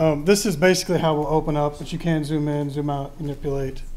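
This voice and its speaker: Light background noise sits behind this recording. A man speaks at a moderate pace. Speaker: presenter. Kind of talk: software demonstration to a board.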